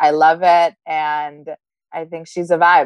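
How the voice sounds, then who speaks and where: In a dry, close sound with no echo, a woman speaks with an Israeli accent. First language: Hebrew. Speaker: podcast guest, host's sister. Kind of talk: casual chat.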